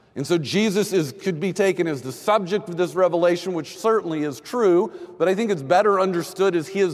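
Noticeable background noise sits under the voice. The speaker keeps a moderate pace with ordinary pitch variation. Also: man. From Texas. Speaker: pastor. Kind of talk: sermon.

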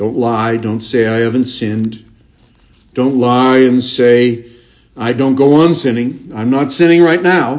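A plain, everyday voice at a fairly slow pace with ordinary pitch variation. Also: man, medium pitch for a man. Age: 50s. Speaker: pastor. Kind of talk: sermon. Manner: repeats words when speaking.

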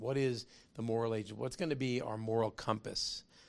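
A man with a normal speaking voice talks at a fairly quick pace and medium pitch, with fairly even intonation against a quiet background. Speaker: business founder and lecturer. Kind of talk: lecture with humor and moral exhortation. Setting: live lecture hall with audience. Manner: conversational, preachy, jokes.

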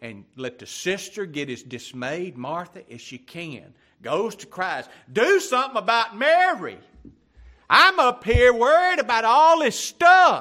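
A man with a Louisiana accent, extremely high in pitch with very wide pitch swings, raised and projected, bright and sharp in tone, at a fairly slow pace with big swings in loudness. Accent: Southern US (Louisiana). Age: 60s. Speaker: pastor. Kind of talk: sermon. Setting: church.

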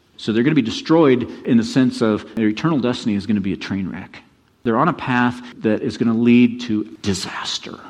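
The speaker uses an unforced reading voice full of lively intonation.

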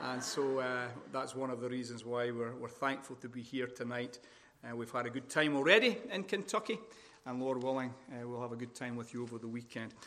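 With a Scottish accent, a man talks over noticeable background noise. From Scotland. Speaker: visiting preacher. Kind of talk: sermon. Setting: church conference. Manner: deliberately slow.

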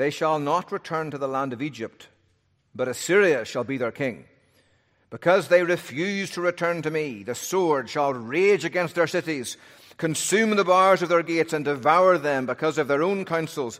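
A man with a normal speaking voice, fairly high in pitch with ordinary variation, at a moderate pace in a very clean recording with a silent background. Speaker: pastor. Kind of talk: sermon. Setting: church.

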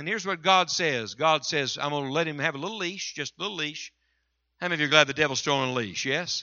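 A man talks at a very fast pace with an Appalachian accent. His pitch is fairly high. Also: ordinary pitch variation. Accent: Appalachian US Southern. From West Virginia mountains. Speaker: visiting revival preacher. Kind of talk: sermon. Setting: church with congregation. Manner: animated, impassioned preaching.

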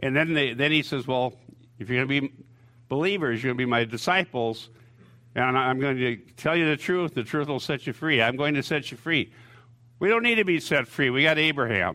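At a fairly quick pace, a man with an unremarkable speaking voice talks in a fairly high pitch with ordinary pitch variation. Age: 60s. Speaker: pastor. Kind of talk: sermon.

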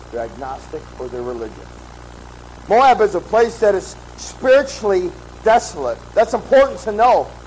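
Moderate pace from a man, loudness swinging widely. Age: 30s. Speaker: pastor. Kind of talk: sermon.

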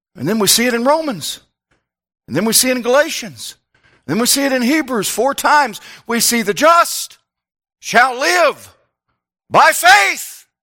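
A man speaks in a raised, projected voice with an extremely high pitch and a bright, sharp tone, his intonation lively at a moderate pace. Long, frequent pauses break it up, and the recording is very clean with a silent background. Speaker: pastor. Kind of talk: sermon. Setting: church. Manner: informal, conversational preaching.

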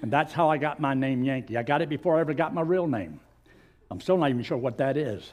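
A man with a Southern US accent, fairly high pitch and a very fast pace. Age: 80s. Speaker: pastor. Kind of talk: sermon. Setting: church.

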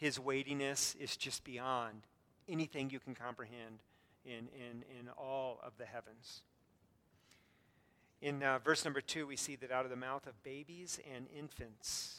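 Speaking at a fairly slow pace, a man has a bright, sharp tone, fairly even intonation and big swings in loudness. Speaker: pastor. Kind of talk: sermon. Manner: halting.

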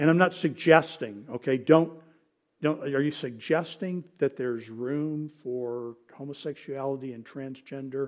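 With a plain, everyday voice, a man speaks fairly slowly at a fairly high pitch, his loudness swinging widely, on a very clean recording with a silent background. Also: ordinary pitch variation. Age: 60s. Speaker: Sunday school teacher. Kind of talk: Bible lecture. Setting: church classroom.

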